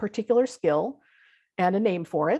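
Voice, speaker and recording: A woman at a moderate pace, with ordinary pitch variation, in a dry, close sound with no echo over a quiet background. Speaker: visual thinking facilitator and teacher. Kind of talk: online talk / workshop presentation. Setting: video call.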